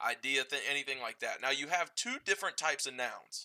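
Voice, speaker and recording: Very fast speech with an American accent, bright and sharp in tone, with ordinary pitch variation and a dry, close sound with no echo. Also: man. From Appalachia. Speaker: teacher. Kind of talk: tutorial. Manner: casual, hesitant with fillers and repetitions.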